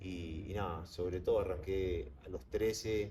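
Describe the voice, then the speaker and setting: In a Uruguayan accent, a man speaks with a very deep, low, dark, mellow voice, vocal fry, and ordinary pitch variation, with audible room echo around him. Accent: Uruguayan Spanish (rioplatense). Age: 20s. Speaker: professional goalkeeper. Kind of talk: interview. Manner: halting, many fillers.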